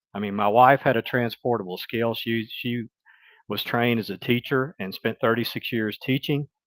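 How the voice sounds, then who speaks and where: At a moderate pace and medium pitch, a man talks with fairly even intonation in a dry, close sound with no echo, on a very clean recording with a silent background. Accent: Mississippi. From US South, Mississippi. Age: 60s. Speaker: retired business executive and writer. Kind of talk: interview conversation.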